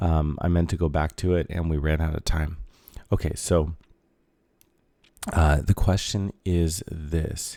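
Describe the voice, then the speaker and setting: Soft-spoken and fairly slow, a man talks in a very deep, low, dark and mellow voice with monotone, flat intonation and long, frequent pauses. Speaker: high school math teacher. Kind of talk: tutorial. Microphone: mic very close to the mouth.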